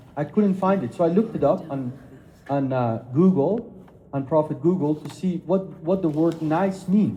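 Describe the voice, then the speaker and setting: With audible room echo and noticeable background noise, a man talks at a moderate pace in a fairly high pitch. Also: ordinary pitch variation. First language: not English (English is third language). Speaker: speaker on Islam and Christianity. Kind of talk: lecture.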